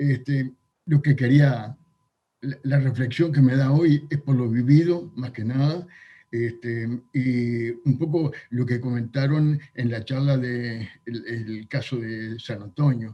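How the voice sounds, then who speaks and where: At a very slow pace, a man with a medium pitch and a dark, mellow tone speaks in a somewhat breathy voice with fairly even intonation. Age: 70s. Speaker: retired doctor. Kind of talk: video conference discussion.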